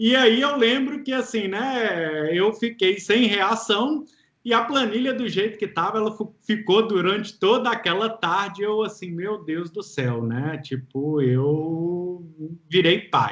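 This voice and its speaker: In a Minas Gerais accent, a man speaks very slowly at a high pitch, his tone cheerful and relaxed and his intonation lively. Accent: mineiro accent, noticeable. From Minas Gerais, Brazil. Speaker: entrepreneur and single father. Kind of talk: interview testimony. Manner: cheerful, relaxed.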